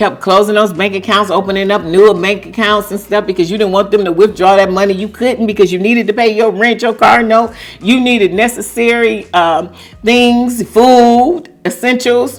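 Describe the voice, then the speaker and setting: A woman's medium-pitched voice with ordinary pitch variation at a moderate pace, with music in the background. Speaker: YouTube commentary vlogger. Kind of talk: casual commentary monologue.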